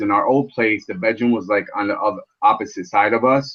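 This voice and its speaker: Here is a man with a plain, everyday voice. He talks at a moderate pace and a medium pitch. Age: 40s. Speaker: vape reviewer. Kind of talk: casual chat.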